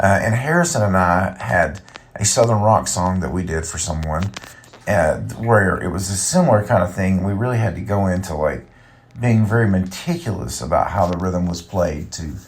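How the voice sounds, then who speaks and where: With a very deep, low pitch, a man talks in a relaxed tone at a moderate pace, his pitch varying in an ordinary way amid audible room echo. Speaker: podcast host and musician. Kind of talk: casual solo podcast monologue. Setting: recording in a bathtub, early morning. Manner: relaxed, many fillers.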